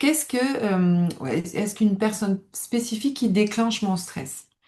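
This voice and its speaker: Very slowly and somewhat breathily, a woman speaks at a medium pitch with ordinary pitch variation. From southern France, Nice area. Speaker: stress management coach, former psychiatric nurse. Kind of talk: live webinar presentation. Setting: online webinar.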